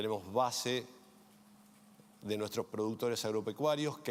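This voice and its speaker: Here a man talks at a moderate pace in a medium pitch. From Argentina. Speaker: insurance executive. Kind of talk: panel self-introduction.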